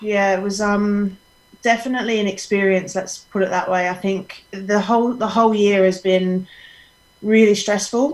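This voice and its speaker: A woman speaks at a moderate pace in a medium pitch. Her intonation is monotone and flat, and there is noticeable background noise. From Australia. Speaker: women's football coach. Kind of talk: interview.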